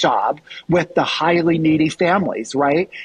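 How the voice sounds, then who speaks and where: The speaker is a man. His voice sits at a high pitch. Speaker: college enrollment and athletics vice president. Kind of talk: podcast interview. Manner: fast.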